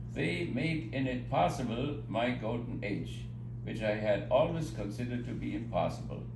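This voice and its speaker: Music plays behind a man speaking with a German accent. He keeps a moderate pace, and room echo is audible. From Germany. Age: 90s. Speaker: retired professor. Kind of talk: birthday speech read aloud. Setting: home gathering with PA system.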